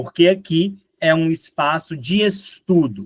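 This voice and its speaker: A man with a mineiro accent speaks at a fairly high pitch, the sound dry and close with no echo. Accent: mineiro (Minas Gerais) Portuguese. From Minas Gerais, Brazil. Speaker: teacher. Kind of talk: lecture. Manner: conversational, frequent fillers.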